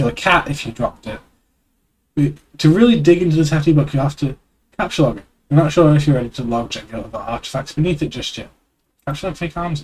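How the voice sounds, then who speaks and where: A man's fairly high voice at a very fast pace, with ordinary pitch variation, long and frequent pauses, and big swings in loudness. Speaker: streamer. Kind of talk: reading aloud. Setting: live stream.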